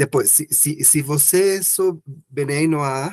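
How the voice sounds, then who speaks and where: Speaking very slowly with a non-native accent, a man uses a fairly high pitch and ordinary pitch variation. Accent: non-native Portuguese, rusty. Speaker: participant asking questions. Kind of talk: question in online Q&A. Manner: halting, many false starts.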